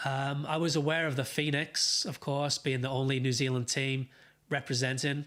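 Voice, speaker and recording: A man's fairly high voice in a Welsh accent, monotone and flat, at a moderate pace in a very clean recording with a silent background. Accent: noticeable accent (Welsh). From Wales, Wrexham. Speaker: football fan streamer. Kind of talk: live watchalong chat. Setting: live stream. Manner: hesitant, many fillers.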